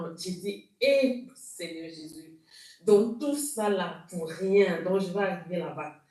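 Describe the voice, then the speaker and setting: Somewhat breathy and dark, mellow in tone, a woman speaks at a medium pitch with audible room echo. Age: 40s. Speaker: church member giving testimony. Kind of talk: testimony. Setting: video call. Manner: halting.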